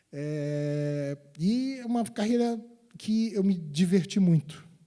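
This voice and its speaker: A man with a dark, mellow tone uses lively intonation on a very clean recording with a silent background. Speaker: electrical engineer, guest lecturer. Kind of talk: guest lecture to university students. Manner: halting, many repetitions and fillers.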